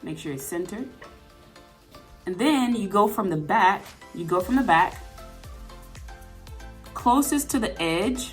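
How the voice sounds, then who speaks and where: Backed by music, a woman speaks fairly slowly with long, frequent pauses, her pitch swinging very widely and her loudness shifting greatly. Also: medium pitch for a woman. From Atlanta, Georgia. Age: 20s. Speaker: sewing tutorial YouTuber. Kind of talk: casual tutorial talk to camera.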